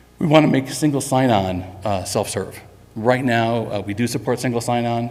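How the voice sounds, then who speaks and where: With audible room echo, a man talks at a very fast pace in a fairly even intonation. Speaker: software company executive presenting to customers. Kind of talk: conference presentation. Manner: frequent fillers (um, uh).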